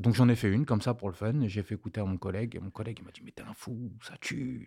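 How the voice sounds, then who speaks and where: A man speaks very fast in a dark, mellow tone that is somewhat breathy. The recording is very clean, with a silent background. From grew up abroad, 'au bled'. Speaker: music producer. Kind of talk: casual interview chat.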